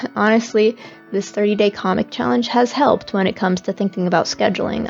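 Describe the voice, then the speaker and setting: Over music in the background, a woman speaks quietly at a fairly quick pace with ordinary pitch variation. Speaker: webcomic artist. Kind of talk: casual talk to camera. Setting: home, background noise.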